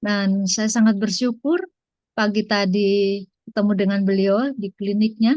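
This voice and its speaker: Heard in a dry, close recording without echo, a woman speaks at a medium pitch in a somewhat breathy voice with fairly even intonation. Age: 70s. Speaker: patient sharing testimony. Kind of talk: testimony.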